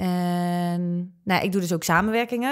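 Over a quiet background, a woman talks at a moderate pace, with a medium pitch and ordinary pitch variation. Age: 20s. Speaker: online comedian and presenter; online comedian, presenter. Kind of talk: casual chat. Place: studio. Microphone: studio mic.

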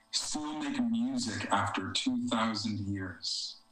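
Amid light background noise and audible room echo, a man with an American accent speaks at a very slow pace. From US East Coast. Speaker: poet. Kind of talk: poetry reading, read aloud to a virtual audience. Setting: video call from home. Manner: measured, reflective, slow, lyrical poetry delivery; slightly hesitant and conversational between poems. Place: home room. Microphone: video call.

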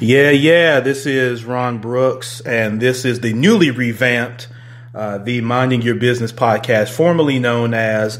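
The man speaks at a fairly slow pace with fairly even intonation. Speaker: podcast host. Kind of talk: casual podcast chat greeting live viewers. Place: home room.

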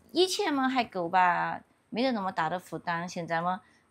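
A woman at a fairly quick pace with lively intonation. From Yunnan border region, China. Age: 40s. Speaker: villager. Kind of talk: casual chat. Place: open country.

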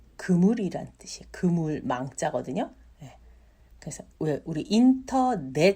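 Somewhat breathy, a woman speaks at a very slow pace with very wide pitch swings. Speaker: Chinese language teacher. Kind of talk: tutorial. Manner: repeats words slowly for learners.

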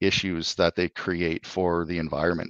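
There is a quiet background and a dry sound with no echo as a man talks in a very deep, low pitch. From Alberta, Canada. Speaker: clean tech company CEO; guest. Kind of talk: interview. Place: home room. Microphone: video call.

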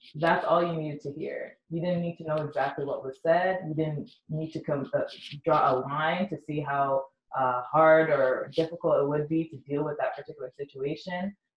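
With a Canadian accent, a woman speaks at a moderate pace in a very deep, low pitch that is somewhat breathy, with fairly even intonation. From London, Ontario, Canada. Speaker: community organizer and radio host. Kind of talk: interview.

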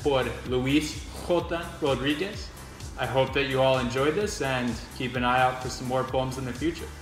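Clear music plays behind a man with a medium pitch and audible room echo. He speaks at a moderate pace with ordinary pitch variation. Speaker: poetry reader. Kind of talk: casual talk to camera. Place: home room. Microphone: phone near.

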